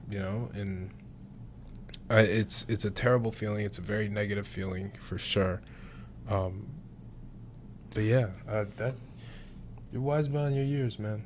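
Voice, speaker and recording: A man with an American accent, fairly low in pitch and somewhat breathy, with ordinary pitch variation, a fairly slow pace and long, frequent pauses. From Syracuse, New York. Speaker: podcast host and college basketball player. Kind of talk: casual chat.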